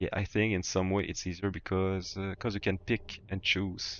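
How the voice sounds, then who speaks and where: In a very deep, low voice, a man with a strong French accent talks at a fairly slow pace. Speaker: gaming streamer. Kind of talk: casual chat. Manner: halting, many repetitions.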